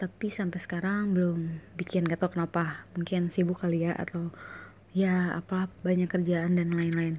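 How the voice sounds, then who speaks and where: Somewhat breathy and dark, mellow in tone, a woman speaks at a fairly low pitch and a moderate pace with monotone, flat intonation. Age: 20s. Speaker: swimming coach and podcaster. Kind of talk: casual monologue. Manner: hesitant, filler-heavy.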